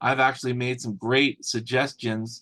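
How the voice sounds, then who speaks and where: A man speaks at a moderate pace in a normal speaking voice. His pitch sits in the medium range. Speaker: cybersecurity course instructor. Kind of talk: online class wrap-up lecture. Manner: casual, conversational.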